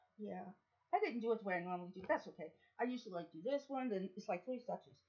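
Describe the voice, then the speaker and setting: Her delivery comes at a fairly quick pace. The woman's voice sounds somewhat breathy. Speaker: hair care vlogger. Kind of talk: tutorial. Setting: filming herself on camera. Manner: casual, halting.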